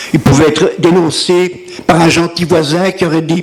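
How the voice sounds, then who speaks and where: The pace is moderate. Noticeable background noise runs underneath. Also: man. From Brussels, Belgium. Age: 80s+. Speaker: Holocaust survivor. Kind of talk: testimony.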